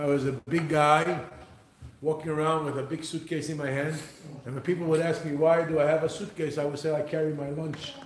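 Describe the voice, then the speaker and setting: A man's fairly high, monotone, flat voice at a fairly quick pace, with audible room echo and noticeable background noise. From Israel, Jerusalem. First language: Hebrew. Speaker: businessman and speaker. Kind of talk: motivational talk.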